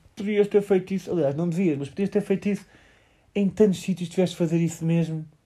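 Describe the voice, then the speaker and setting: A man with a European Portuguese accent, dark, mellow tone and fairly quick pace. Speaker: podcast co-host, surfer. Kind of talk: casual chat. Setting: lying in bed at night.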